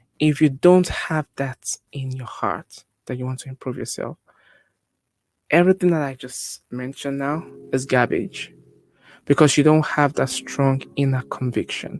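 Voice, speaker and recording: A man's fairly high voice in a Nigerian accent, fairly slow with long, frequent pauses, fairly even intonation and big swings in loudness, in a dry, close sound with no echo. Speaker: public speaking coach. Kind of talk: tutorial.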